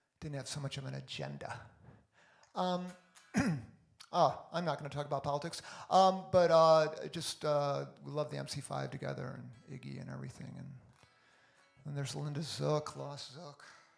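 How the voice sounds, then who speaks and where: A man with big swings in loudness and long, frequent pauses, music in the background. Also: moderate pace. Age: 60s. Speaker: musician. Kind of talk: casual livestream chat.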